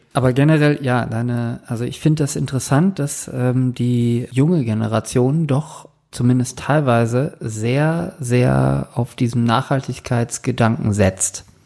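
A man with a dark, mellow tone and a medium pitch speaks with hardly any pauses. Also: ordinary pitch variation, fairly slow pace. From northern Germany. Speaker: podcast host. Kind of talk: casual chat.

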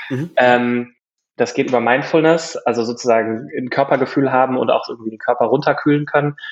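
A man's voice sits at a medium pitch, moving at a fairly quick clip with fairly even intonation. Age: 30s. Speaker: startup founder. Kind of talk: interview. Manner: halting.

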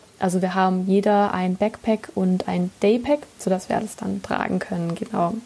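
A woman with a medium pitch and fairly even intonation speaks at a moderate pace over noticeable background noise. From southern Germany. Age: 20s. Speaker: podcast host. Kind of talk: monologue. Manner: hesitant, many fillers.

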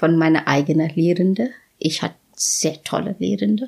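Somewhat breathy and fairly low in pitch, a woman with an Indian accent speaks at a fairly slow pace. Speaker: professor of nutrition science. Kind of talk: casual interview. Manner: halting.

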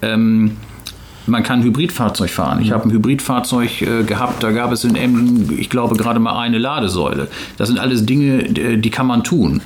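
Over noticeable background noise and audible room echo, a man with a medium pitch speaks at a moderate pace, his loudness very even, his pitch varying in an ordinary way, and hardly any pauses in between. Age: 40s. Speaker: company executive. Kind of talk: interview. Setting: company office near harbour. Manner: halting, many filler sounds.

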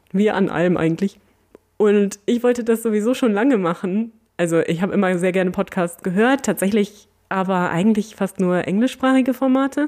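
Here is a normal speaking voice at a fairly quick pace. Loudness stays very even, with ordinary pitch variation. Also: woman, medium pitch for a woman. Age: 40s. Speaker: podcast host, museum volunteer coordinator. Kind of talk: casual Q&A chat.

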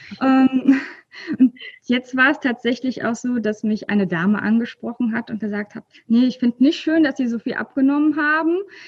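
A woman speaks in a high voice, recorded dry and close with no echo. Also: ordinary pitch variation, moderate pace. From Rhineland, near Cologne, Germany. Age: 30s. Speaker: library worker sharing her weight-loss story. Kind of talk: casual interview. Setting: video call from her workplace library. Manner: hesitant, many filler sounds.

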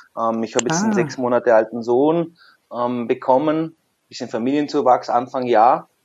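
Here a man talks at a moderate pace with medium pitch and ordinary pitch variation. He has an unremarkable speaking voice. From southern Germany, Lake Constance / Lindau area. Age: 30s. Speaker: personal trainer studio owner and scientist. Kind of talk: casual interview.

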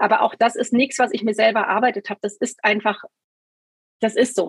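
The sound is dry and close, with no echo. A woman speaks very fast at a fairly high pitch, keeping her intonation fairly even. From Hesse, Germany (Taunusstein near Wiesbaden). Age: 50s. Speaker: scoliosis patient. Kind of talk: interview testimony.

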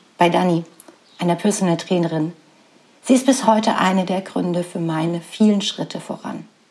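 A woman speaks at a medium pitch. Noticeable background noise runs under her voice. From Saxony, eastern Germany (Radeberg near Dresden). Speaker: podcast host and business coach. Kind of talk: personal storytelling monologue.

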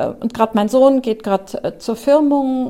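Woman's dark, mellow voice at a moderate pace, with monotone, flat intonation. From Germany, Trier. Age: 50s. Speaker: newspaper journalist. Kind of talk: interview.

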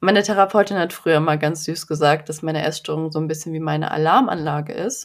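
On a very clean recording with a silent background, a woman with a very deep, low pitch talks at a very fast pace with hardly any pauses and ordinary pitch variation. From western Germany (North Rhine-Westphalia). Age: 20s. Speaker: eating disorder recovery coach. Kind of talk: interview. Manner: calm, soothing.

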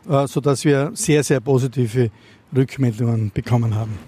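A man's dark, mellow, somewhat breathy voice with ordinary pitch variation, dry and close with no echo. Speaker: mayor. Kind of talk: interview.

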